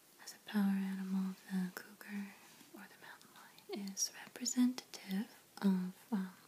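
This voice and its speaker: Soft-spoken whispering comes at a fairly slow pace in a calm, relaxed tone. Noticeable background noise is present. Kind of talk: ASMR show and tell. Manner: whispered, soft-spoken.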